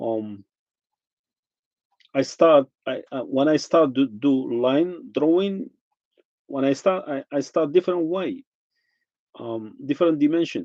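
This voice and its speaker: The voice has a dark, mellow tone, a fairly slow pace with long, frequent pauses, ordinary pitch variation, and a dry, close sound with no echo. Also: man, fairly high pitch for a man. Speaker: artist. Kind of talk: casual vlog talk. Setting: home kitchen. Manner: halting, many restarts.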